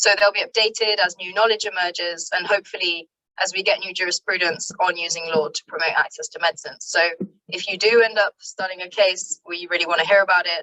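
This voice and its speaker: A very fast pace with fairly even intonation. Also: woman. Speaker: NGO legal researcher presenting guidelines. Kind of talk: webinar presentation.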